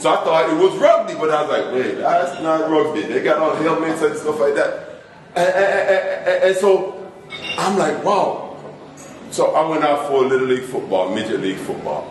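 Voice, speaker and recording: Moderate-paced speech from a man with an American accent, amid noticeable background noise and audible room echo. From Jamaica. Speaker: motivational speaker, former football player. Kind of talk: speech at a club meeting. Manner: animated.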